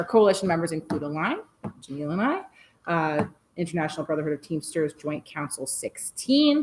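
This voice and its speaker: A woman mumbles her words. Her pitch swings very widely. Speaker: environmental coalition advocate. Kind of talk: presentation at community meeting. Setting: meeting room with Zoom link. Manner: mumbling.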